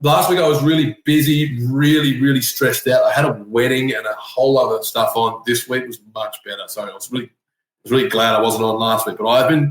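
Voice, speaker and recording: A man speaks with an Australian accent at a fairly quick pace. His fairly high voice shows big swings in loudness and ordinary pitch variation. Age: 30s. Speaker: tiler. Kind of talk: casual chat. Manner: animated.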